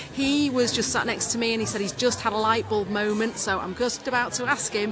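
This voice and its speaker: With music in the background, a woman speaks at a fairly quick pace, her fairly high pitch held in fairly even intonation. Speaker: podcast host. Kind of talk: casual interview chat. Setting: conference event venue.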